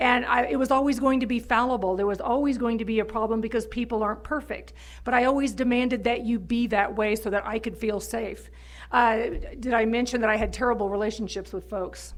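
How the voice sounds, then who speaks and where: With vocal fry, a woman talks at a fairly high pitch and a fairly quick pace, keeping her intonation fairly even. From Texas, near Houston. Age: 50s. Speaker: recovery speaker. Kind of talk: testimony.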